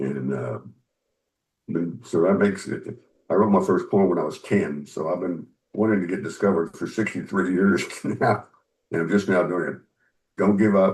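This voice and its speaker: Speaking with an American accent, a man with a very deep, low pitch and vocal fry talks at a moderate pace with ordinary pitch variation and long, frequent pauses. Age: 70s. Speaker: author and musician. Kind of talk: interview.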